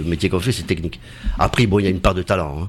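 A man talks with lively intonation while noticeable noise runs in the background. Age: 50s. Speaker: actor. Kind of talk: casual chat.

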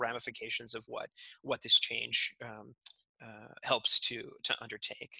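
Recorded in a dry, close sound with no echo, a man talks at a moderate speed. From California, US. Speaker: entrepreneur. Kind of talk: interview. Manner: halting, many fillers.

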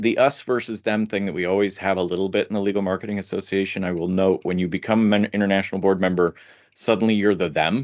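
A man's fairly low-pitched, unremarkable speaking voice with an American accent, at a fairly quick pace. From US Midwest (Indiana). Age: 50s. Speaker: legal marketing director. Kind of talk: interview.

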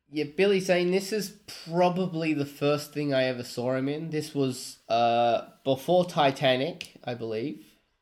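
A man with a fairly high pitch, ordinary pitch variation, a fairly slow pace and hardly any pauses. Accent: Australian. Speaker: comic shop worker and podcast co-host. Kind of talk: casual chat.

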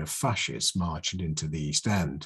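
In a quiet background, a man speaks with a very deep, low pitch and a somewhat breathy voice. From southern England, Oxfordshire. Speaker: political speaker, writer. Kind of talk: lecture. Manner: halting, many fillers and repetitions.

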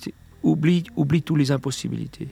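A man talks at a moderate pace with fairly even intonation. His voice is somewhat breathy. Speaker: comic book artist and musician. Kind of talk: casual radio interview. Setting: radio studio.

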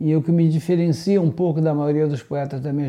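A man's fairly high voice, dark and mellow in tone, at a moderate pace. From Brazil. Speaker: poet. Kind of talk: poetry reading; interview.

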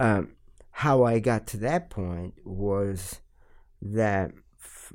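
A man speaks at a fairly low pitch with an Italian accent. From Italy, Milan. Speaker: musician and studio owner. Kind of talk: interview. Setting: studio.

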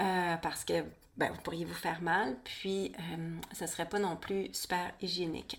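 Her pitch is fairly low and her pace fairly slow. This woman speaks in a monotone, flat intonation. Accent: Quebec. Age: 40s. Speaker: podcast host, birth and women's health educator. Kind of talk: solo podcast monologue. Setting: home studio.

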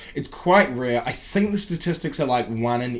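In a New Zealand accent, a man of medium pitch talks at a fairly slow pace with lively intonation. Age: 20s. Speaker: podcast host and comedian. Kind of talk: casual chat.

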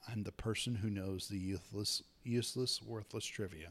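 Here is an ordinary speaking voice from a man, fairly low in pitch. He keeps a moderate pace and fairly even intonation. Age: 30s. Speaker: podcast host, wrestling fan. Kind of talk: casual solo podcast monologue.

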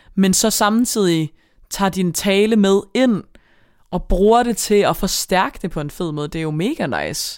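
A woman's normal speaking voice at a medium pitch, fairly slow, with ordinary pitch variation. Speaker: podcast co-host. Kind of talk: casual chat.

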